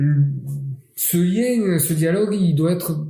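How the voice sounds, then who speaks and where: A man's very slow, dark, mellow, somewhat breathy voice with audible room echo. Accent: French Catalan. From Catalonia, southern France. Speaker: mayor. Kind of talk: interview. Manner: hesitant with fillers.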